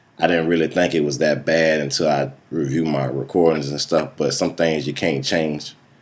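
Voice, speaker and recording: Over noticeable background noise, a man with a very deep, low pitch talks in a monotone, flat way at a moderate pace with hardly any pauses. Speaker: student, military veteran. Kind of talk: self-evaluation speech. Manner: hesitant, uses um.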